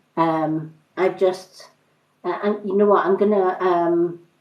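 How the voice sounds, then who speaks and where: A woman's medium-pitched voice with a Scottish accent, fairly even intonation and a fairly slow pace. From Scotland. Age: 50s. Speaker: tarot card reader. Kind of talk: livestream card reading. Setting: livestream. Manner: hesitant, many fillers.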